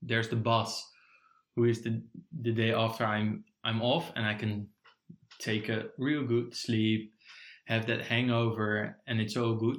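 A man with a Dutch accent, medium in pitch, at a fairly slow pace. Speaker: podcast co-host. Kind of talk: casual chat.

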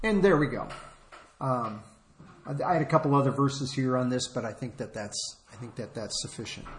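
A somewhat breathy voice moves at a moderate pace, with audible room echo around it. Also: man. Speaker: preacher. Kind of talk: sermon. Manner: halting.

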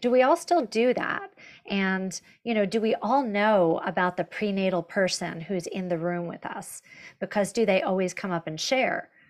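A woman talks at a medium pitch and a moderate pace, with ordinary pitch variation. It is a plain, everyday voice. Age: 50s. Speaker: fitness instructor. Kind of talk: webinar panel discussion.

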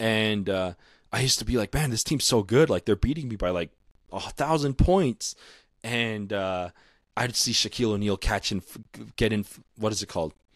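In a very clean recording with a silent background and a dry, close sound with no echo, a man with an American accent uses a normal speaking voice, fairly low in pitch, with ordinary pitch variation at a moderate pace. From Utah. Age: 20s. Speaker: basketball podcast host. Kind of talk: solo podcast monologue.

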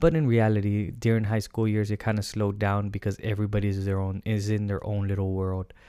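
Monotone and flat in intonation, a man speaks at a fairly quick pace on a very clean recording with a silent background. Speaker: podcast host. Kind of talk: solo advice podcast talk. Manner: earnest, conversational, with some halting and self-corrections.

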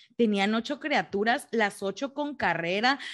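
Against a quiet background, a woman with an ordinary speaking voice and a fairly high pitch talks at a fairly slow pace with ordinary pitch variation. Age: 30s. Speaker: mother, working professional. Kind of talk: casual chat.

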